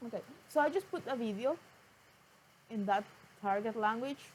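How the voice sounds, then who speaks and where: A woman in a Spanish accent talks at a fairly high pitch with lively intonation. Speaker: vlogger, language learner. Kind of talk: casual talk to camera. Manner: halting.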